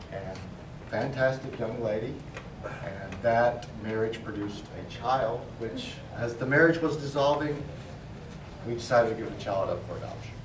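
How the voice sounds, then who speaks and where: Pausing long and often at a moderate pace, a man speaks with big swings in loudness amid noticeable background noise and audible room echo. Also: medium pitch for a man, ordinary pitch variation. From Tennessee, Knoxville. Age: 50s. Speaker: meteorologist giving a club speech. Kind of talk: prepared speech.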